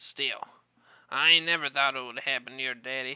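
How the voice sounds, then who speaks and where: A raspy, put-on character voice sits at a low-to-middle pitch. It moves at a moderate pace. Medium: read story. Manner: blunt, disapproving.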